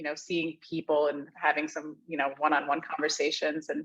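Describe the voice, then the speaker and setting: Speaking at a fairly quick pace, a woman talks with a Midwestern American accent. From US Midwest, Ohio. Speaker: marketing executive. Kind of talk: casual panel chat. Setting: video call from co-working space.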